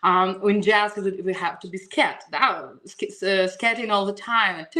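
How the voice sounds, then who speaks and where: Speaking at a fairly slow pace with fairly even intonation, a woman of medium pitch swings widely in loudness over noticeable background noise. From Russia, Saint Petersburg. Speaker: singer. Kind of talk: interview. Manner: halting.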